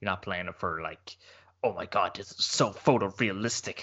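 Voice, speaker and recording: A man is speaking. He has an Irish accent. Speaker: gaming podcast co-host. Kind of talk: casual chat.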